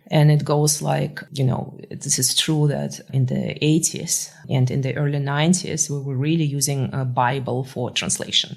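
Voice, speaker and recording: There is noticeable background noise behind a woman with a very deep, low pitch. Her intonation stays fairly even at a moderate pace. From Russia (Moscow). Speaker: tech founder and CEO. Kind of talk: podcast interview. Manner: many filler words (uh).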